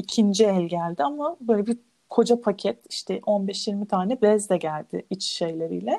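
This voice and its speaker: An ordinary speaking voice, using lively intonation, moves along at a moderate pace. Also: woman. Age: 30s. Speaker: minimalism content creator. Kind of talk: casual chat.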